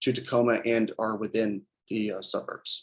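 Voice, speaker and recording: This is a man speaking. His intonation stays fairly even. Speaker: student researcher presenting. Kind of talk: research presentation. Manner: fast; hesitant, many fillers.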